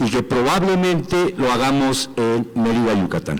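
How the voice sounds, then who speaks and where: Speaking at a fairly slow pace with ordinary pitch variation, a man is heard over noticeable background noise. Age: 60s. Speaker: sports representative of a political movement. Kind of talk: assembly report.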